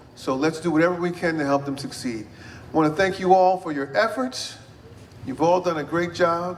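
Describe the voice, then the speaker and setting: A man's voice, high for a man, with ordinary pitch variation over noticeable background noise. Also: fairly quick pace. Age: 60s. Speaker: mayor. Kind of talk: public speech. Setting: event with audience.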